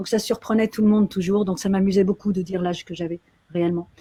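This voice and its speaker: With a dark, mellow tone, a woman speaks at a fairly quick pace. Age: 60s. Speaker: actress and activist. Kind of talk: interview. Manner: animated.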